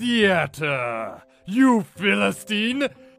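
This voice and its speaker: A man projects his voice loudly at a high pitch. Faint music plays in the background. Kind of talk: comic overacting. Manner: pompous, grandiose.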